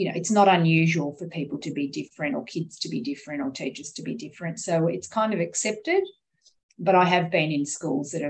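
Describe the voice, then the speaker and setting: In an Australian accent, a woman speaks at a fairly quick pace. Her voice is fairly low-pitched and somewhat breathy. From Australia, child of migrants. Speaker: teacher, workshop participant. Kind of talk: group discussion.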